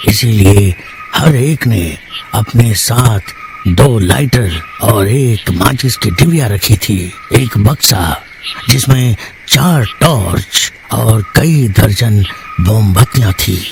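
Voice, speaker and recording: In a cartoonish character voice at medium pitch, a man talks at a very slow pace over clear background noise. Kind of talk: horror narration. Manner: slow, suspenseful.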